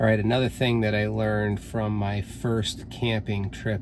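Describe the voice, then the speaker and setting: Noticeable background noise sits behind a man speaking at a moderate pace in a fairly low, monotone, flat voice. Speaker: car owner vlogger. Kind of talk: tutorial. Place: car. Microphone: phone near.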